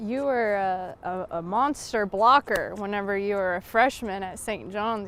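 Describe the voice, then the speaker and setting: A woman's plain, everyday voice at medium pitch with fairly even intonation. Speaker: sports sideline reporter. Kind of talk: sports sideline reporting and interview questions.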